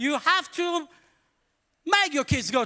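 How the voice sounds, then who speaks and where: A man speaks in a Polish accent with a raised, projected voice. His tone is bright and sharp, and his pace is moderate. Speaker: pastor. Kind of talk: sermon. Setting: church. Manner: casual.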